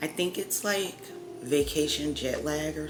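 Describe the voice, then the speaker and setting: A woman speaks at a fairly slow pace, with music in the background and audible room echo. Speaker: mom vlogger. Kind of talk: casual vlog talk. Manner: casual, filler-heavy.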